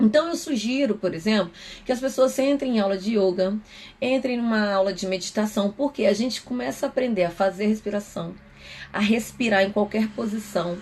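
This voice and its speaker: With ordinary pitch variation, a woman's voice sits at a fairly high pitch. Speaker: psychoanalyst. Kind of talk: live stream talk. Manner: fast.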